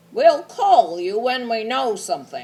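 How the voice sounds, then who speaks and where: In a put-on character voice, the speaker goes fairly slowly at a fairly high pitch with very wide pitch swings. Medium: read story.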